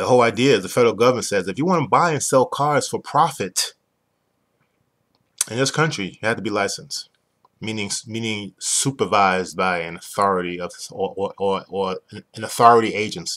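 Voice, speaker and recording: A man speaks with a New York accent at a medium pitch. His intonation is lively over a quiet background. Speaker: business owner explaining a used car dealer licensing program. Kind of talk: explanatory sales talk. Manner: fast talker. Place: home room. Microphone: webcam.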